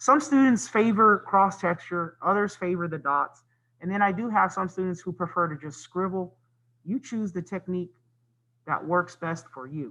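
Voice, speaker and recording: A raised, projected voice with a bright, sharp tone, big swings in loudness, ordinary pitch variation and a moderate pace. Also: man, high pitch for a man. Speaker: art teacher. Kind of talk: tutorial.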